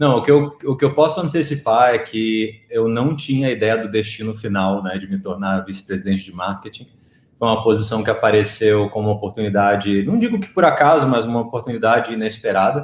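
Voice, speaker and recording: A man speaks at a fairly quick pace with hardly any pauses. His medium pitch shifts in an ordinary way. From Rio de Janeiro, Brazil. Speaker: marketing executive. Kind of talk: live online talk interview.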